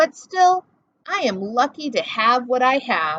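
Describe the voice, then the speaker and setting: In a put-on character voice, the words come at a fairly slow pace with very wide swings in pitch. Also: woman. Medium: read story. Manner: modest, sly.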